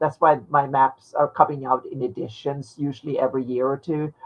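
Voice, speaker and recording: The pace is moderate. A woman talks with a non-native accent. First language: not English. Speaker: fantasy map maker. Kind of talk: casual chat. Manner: halting, many repeated words.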